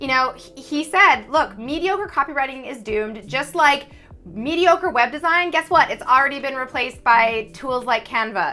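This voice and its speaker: Speaking at a fairly quick pace, a woman uses a high pitch, a bright, sharp tone, an animated tone and lively intonation in a raised, projected voice. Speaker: copywriter and YouTube host. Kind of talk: casual interview chat. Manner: fast.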